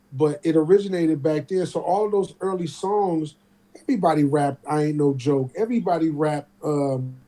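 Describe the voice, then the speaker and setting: Through noticeable background noise comes a man with an American accent and a fairly high-pitched voice. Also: ordinary pitch variation, fairly quick pace. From Oakland, California. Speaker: rapper. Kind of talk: casual chat. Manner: animated.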